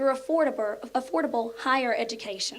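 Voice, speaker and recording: A woman with an Appalachian accent speaks in a high voice with ordinary pitch variation. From southern West Virginia, Mercer County. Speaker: elementary school teacher. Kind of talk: prepared speech.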